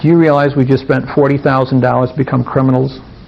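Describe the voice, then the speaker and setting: A man of medium pitch speaks very fast in a monotone, flat intonation. Noticeable background noise runs behind him. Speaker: workshop presenter. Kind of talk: seminar talk.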